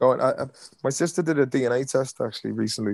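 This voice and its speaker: Speaking fairly quickly, this man has an Irish accent. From Ireland. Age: 30s. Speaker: comedy actor. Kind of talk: casual chat. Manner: animated. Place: home room. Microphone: video call.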